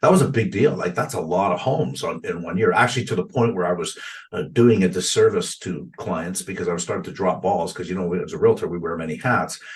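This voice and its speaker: Over noticeable background noise, a man with a Canadian accent talks at a very fast pace with hardly any pauses. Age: 50s. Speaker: realtor and real estate investor. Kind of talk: podcast interview. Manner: halting, many repetitions and fillers.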